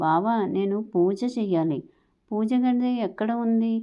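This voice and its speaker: A woman puts on a character voice, soft-spoken and fairly high in pitch. She mumbles at a fairly slow pace. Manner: soft murmur, mumbling.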